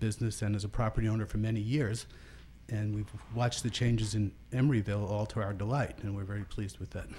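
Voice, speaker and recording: A man talks at a very fast pace and a fairly low pitch, with fairly even intonation. His voice is somewhat breathy with a dark, mellow tone. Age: 60s. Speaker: property owner giving public comment. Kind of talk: public comment at city meeting. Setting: city planning commission meeting.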